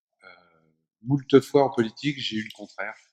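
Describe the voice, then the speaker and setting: This is a man with a medium pitch. The sound is dry and close, with no echo. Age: 60s. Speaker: former politician, author and speaker. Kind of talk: public lecture. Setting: conference hall with audience.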